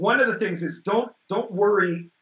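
Against a quiet background with audible room echo, a man talks at a fairly quick pace. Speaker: interview guest, teacher of the practice. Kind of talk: interview answer. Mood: relaxed, amused. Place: home room. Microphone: video call.

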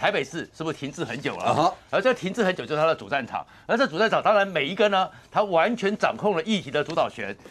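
The man talks at a very fast pace. His intonation is lively. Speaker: political commentator guest. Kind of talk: political commentary. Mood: animated analytical. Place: studio. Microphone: lapel.

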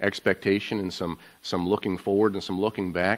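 A man's fairly low voice in a monotone, flat intonation. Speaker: pastor giving welcome. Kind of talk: sermon. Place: church.

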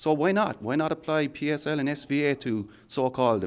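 Speaking at a moderate pace, a man talks with an Irish accent. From Ireland. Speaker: software architect. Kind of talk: technical interview. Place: meeting room. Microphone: handheld.

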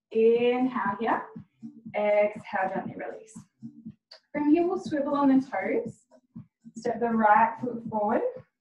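A woman's fairly high voice at a moderate pace, with ordinary pitch variation, long, frequent pauses, audible room echo and light background noise. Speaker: fitness instructor. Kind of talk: guided workout class. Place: home room. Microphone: camera far.

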